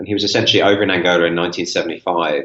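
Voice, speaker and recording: A man speaks with a British accent. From England (south, West Sussex), born in Rome. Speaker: history teacher and adventurer. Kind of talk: interview.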